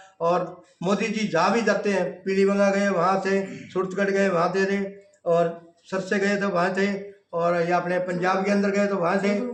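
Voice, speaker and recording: A high-pitched man's voice with monotone, flat intonation and very even loudness, in audible room echo. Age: 60s. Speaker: Modi lookalike, complainant. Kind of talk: interview.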